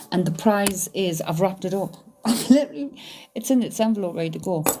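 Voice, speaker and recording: A woman speaks at a moderate pace. Her tone is dark and mellow. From northern England, County Durham (Stanley). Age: 50s. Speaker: psychic medium, live streamer. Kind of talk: casual live stream chat. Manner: informal, uses local slang.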